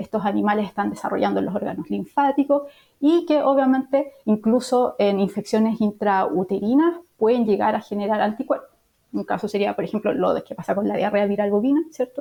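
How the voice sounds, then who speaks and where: A woman speaks with a Chilean accent and lively intonation. Her pace is fairly quick. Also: fairly high pitch for a woman. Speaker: veterinarian and professor. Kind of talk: interview.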